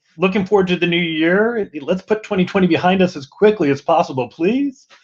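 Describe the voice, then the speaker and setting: Someone with a strong Southern US accent talks at a fairly quick pace with ordinary pitch variation. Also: man. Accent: strong American Southern. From US South (Mississippi). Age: 50s. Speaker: diversity and inclusion executive. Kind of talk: podcast interview.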